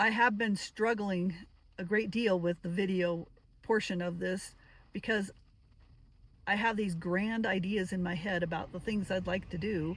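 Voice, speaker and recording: A somewhat breathy woman's voice at medium pitch, fairly slow and fairly even in intonation, with long, frequent pauses. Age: 60s. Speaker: retired solo van traveler, vlogger. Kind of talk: casual vlog talk to camera. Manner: halting, with fillers.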